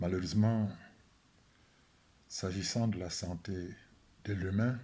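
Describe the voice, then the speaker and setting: Audible room echo surrounds a man with a very deep, low pitch and a dark, mellow tone. He speaks at a very slow pace with fairly even intonation. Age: 70s. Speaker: statistician economist and spiritual healing advocate. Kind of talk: video talk to camera. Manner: hesitant with frequent fillers.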